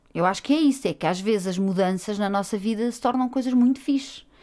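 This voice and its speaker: With an unremarkable speaking voice, a woman talks at a moderate pace with a medium pitch and lively intonation. The recording is very clean, with a silent background. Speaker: podcast co-host, freelance journalist. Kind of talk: casual chat.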